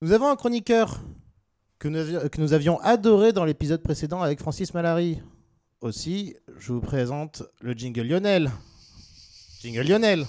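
On a very clean recording with a silent background, a man with a dark, mellow tone and fairly high pitch speaks at a moderate pace with lively intonation and long, frequent pauses. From southwest France (Agen). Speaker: radio host. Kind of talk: casual comedic radio show. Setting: studio.

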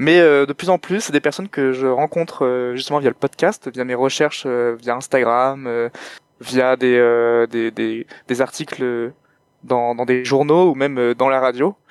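The man speaks at a very slow pace with a medium pitch and fairly even intonation. The sound is dry and close, with no echo. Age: 20s. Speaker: podcaster. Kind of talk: interview. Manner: halting.

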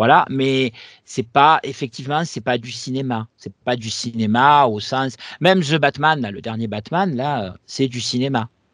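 Speaking at a fairly slow pace, a man with a medium pitch shows ordinary pitch variation and big swings in loudness, recorded with a dry, close sound with no echo against a quiet background. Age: 40s. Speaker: comics podcast co-host. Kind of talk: casual chat. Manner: halting, repeats words.

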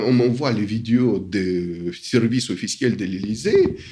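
Over noticeable background noise and audible room echo, a man with a non-native accent speaks at a very slow pace. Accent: foreign accent in French. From Soviet Union. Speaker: academic and literary scholar. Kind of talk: interview. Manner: halting, many hesitations.

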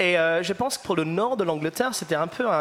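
Through noticeable background noise, a man with an English accent speaks at a moderate pace with ordinary pitch variation. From northern England, Liverpool. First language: English (speaking French). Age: 20s. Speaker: musician. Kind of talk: panel discussion. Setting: live audience recording.

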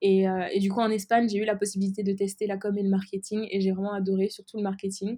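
A woman rattles along at a very fast pace with hardly any pauses, medium pitch and monotone, flat intonation. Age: 20s. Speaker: entrepreneur, cosmetics brand founder. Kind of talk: interview. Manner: hesitant, many filler words.

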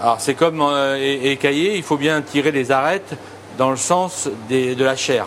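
Here a man talks at a fairly high pitch with ordinary pitch variation. Noticeable background noise is present. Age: 50s. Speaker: chef. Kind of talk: casual cooking demonstration and interview. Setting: market, then restaurant kitchen. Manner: halting, many repetitions and hesitations.

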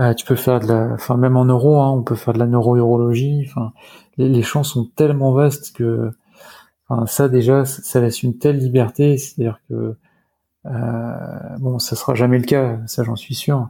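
His tone is dark, mellow and somewhat breathy. The man talks at a moderate pace in a medium pitch with monotone, flat intonation. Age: 30s. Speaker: hospital doctor. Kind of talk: interview. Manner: halting, many hesitations and repetitions.

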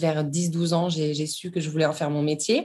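Heard on a very clean recording with a silent background, a woman with a plain, everyday voice speaks at a moderate pace and a fairly low pitch. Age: 30s. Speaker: yoga teacher and dancer. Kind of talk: interview.

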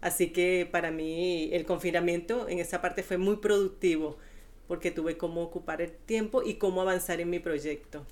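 With a plain, everyday voice, a woman speaks at a fairly low pitch and with fairly even intonation. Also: moderate pace. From Venezuela. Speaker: childminder and piñata maker. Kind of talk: interview.

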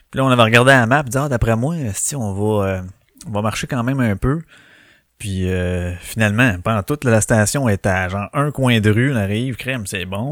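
In a Quebec accent, a man speaks at a moderate pace and medium pitch. His intonation is lively. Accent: Québécois French. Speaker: podcast host. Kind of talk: casual solo chat. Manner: animated, filler-heavy.

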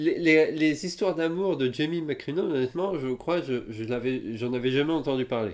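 In a plain, everyday voice, a man with fairly high pitch speaks at a moderate pace with ordinary pitch variation and hardly any pauses. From France. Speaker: podcast co-host. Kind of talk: casual chat.

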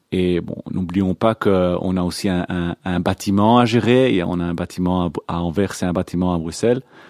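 A man's very deep, low voice with a dark, mellow tone, fairly slow and fairly even in intonation, in a dry, close sound with no echo and a very clean, silent background. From Belgium (Antwerp), born in Israel. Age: 40s. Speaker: youth movement committee member. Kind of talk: radio interview. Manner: hesitant, many fillers.

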